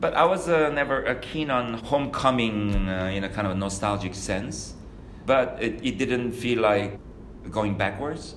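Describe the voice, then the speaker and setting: Speaking at a fairly slow pace with a Korean accent, a man uses a medium pitch and ordinary pitch variation while background noise is noticeable. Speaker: architect. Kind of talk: reflective interview monologue. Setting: studio. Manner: halting with many fillers.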